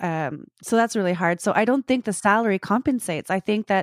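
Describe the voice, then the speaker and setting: A woman with an ordinary speaking voice talks at a fairly quick pace with ordinary pitch variation. The recording is very clean, with a silent background and a dry, close sound with no echo. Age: 40s. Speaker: personal support worker and actor. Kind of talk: casual interview.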